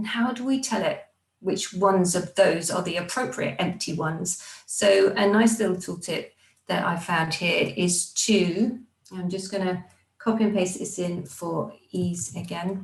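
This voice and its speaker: In an unremarkable speaking voice, a woman talks at medium pitch, fairly slowly, with ordinary pitch variation. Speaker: software consultant. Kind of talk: tutorial.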